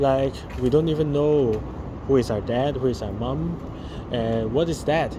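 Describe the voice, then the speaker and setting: Noticeable background noise and audible room echo surround this recording. A man speaks at medium pitch and a fairly slow pace. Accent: Chinese. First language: Chinese. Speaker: daily vlogger. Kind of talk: casual vlog monologue. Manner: halting, many fillers.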